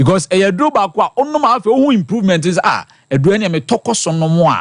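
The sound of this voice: Delivery comes at a very fast pace with big pitch swings. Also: man, high pitch for a man.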